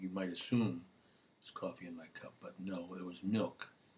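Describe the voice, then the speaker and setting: This man talks quietly. He moves at a fairly quick pace. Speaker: singer hosting own video show. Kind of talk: casual solo video monologue. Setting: home webcam recording. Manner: subdued. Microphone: built-in computer camera.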